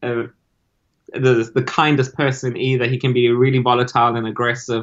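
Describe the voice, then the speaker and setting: A man's medium-pitched voice moves along at an even, moderate speed. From South Africa. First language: Spanish. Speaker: business founder. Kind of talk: casual interview.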